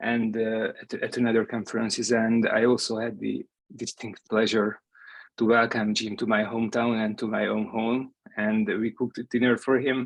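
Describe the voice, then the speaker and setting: Over a quiet background, a man with a Hungarian accent speaks at a medium pitch and moderate pace in a monotone, flat intonation. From Hungary. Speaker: professor. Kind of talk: memorial tribute. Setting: video call. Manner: halting.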